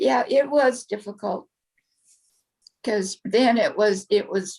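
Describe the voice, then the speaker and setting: A woman talks at a very slow pace in a fairly high, somewhat breathy voice. Her intonation is lively. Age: 70s. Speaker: interviewee sharing life story. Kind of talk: interview.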